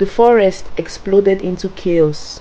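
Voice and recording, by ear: The woman has a fairly low pitch and a dark, mellow tone.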